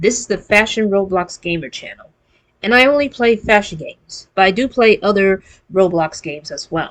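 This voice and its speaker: A woman of medium pitch speaks at a moderate pace with lively intonation, her volume rising and falling sharply. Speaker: gaming YouTuber. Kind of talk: casual gaming news commentary.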